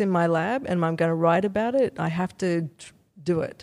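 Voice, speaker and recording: With an Australian accent, a woman speaks at a fairly low pitch and moderate pace, her intonation fairly even, in a very clean recording with a silent background. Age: 50s. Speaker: neuroscience professor. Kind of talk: interview.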